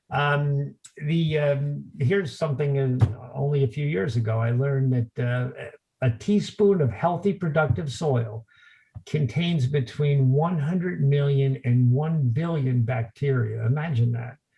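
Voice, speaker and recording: A man's fairly high-pitched, somewhat breathy voice with a dark, mellow tone, ordinary pitch variation and a fairly slow pace. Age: 60s. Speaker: lawn care company owner. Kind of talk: interview. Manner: halting, many fillers.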